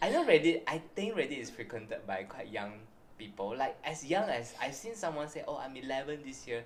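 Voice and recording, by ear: Speaking in a Malaysian accent, a man with a medium pitch moves at a fairly quick pace with big pitch swings, and audible room echo surrounds him.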